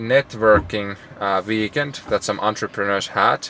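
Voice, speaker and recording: This man speaks with a Finnish accent. His pitch sits fairly low and varies in an ordinary way. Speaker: entrepreneur vlogger. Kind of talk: casual vlog monologue.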